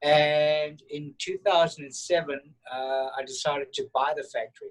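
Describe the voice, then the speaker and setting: Speaking at a moderate pace in a South African accent, a man with a fairly high pitch keeps a monotone, flat intonation while his loudness swings widely. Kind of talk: casual interview. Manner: halting, repeats words.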